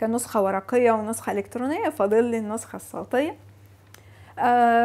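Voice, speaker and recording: A high-pitched woman's voice with an Egyptian accent. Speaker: video blogger. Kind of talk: casual monologue.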